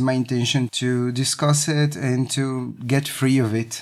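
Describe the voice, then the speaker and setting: At a very slow pace, a man speaks at a medium pitch with monotone, flat intonation. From Brazil, Recife. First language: Portuguese (speaking French). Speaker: circus artist. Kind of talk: interview.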